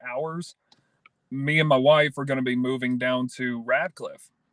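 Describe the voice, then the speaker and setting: A man talks at a fairly slow pace with a Kentucky accent. His medium-pitched delivery stays monotone and flat. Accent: Kentucky Southern US. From Kentucky, around Brandenburg near Louisville. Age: 20s. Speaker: podcast guest. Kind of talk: casual interview.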